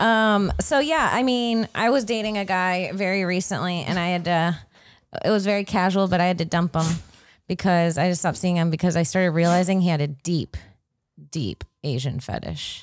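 A woman with a normal speaking voice and an American accent, medium pitch, ordinary pitch variation and a moderate pace, on a very clean recording with a silent background. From Florida. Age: 30s. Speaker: comedian and podcast co-host. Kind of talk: casual chat. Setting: studio.

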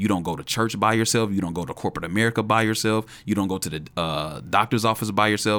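Hardly pausing, a man rushes along at a very fast pace in a fairly low pitch with ordinary pitch variation and a bright, sharp tone. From Chicago. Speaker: youth ministry director. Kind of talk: casual chat. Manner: halting, many fillers.

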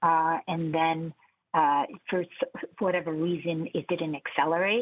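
Speaking at a fairly slow pace, a woman uses fairly even intonation and a fairly low pitch. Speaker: university administrator. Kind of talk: radio interview. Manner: halting, many fillers.

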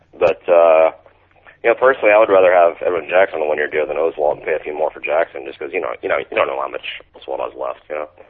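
Very fast speech comes from a man with an American accent. His loudness swings widely. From Mississippi, US South. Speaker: author and stay-at-home dad. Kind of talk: casual chat. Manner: joking, playful.

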